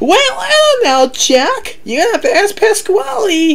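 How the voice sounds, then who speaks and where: A squeaky put-on character voice at an extremely high pitch and moderate pace, with noticeable background noise. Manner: annoying, squeaky.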